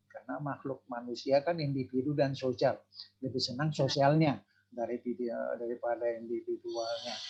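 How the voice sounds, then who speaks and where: A man at medium pitch speaks at a moderate pace in a plain, everyday voice with fairly even intonation. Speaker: audience member asking questions. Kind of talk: online talk show.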